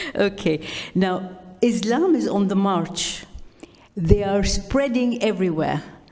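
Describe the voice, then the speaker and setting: Through noticeable background noise, a woman speaks at a very slow pace, with a medium pitch and ordinary pitch variation. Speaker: audience member asking a question. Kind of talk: audience question. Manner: loud; halting, stumbling.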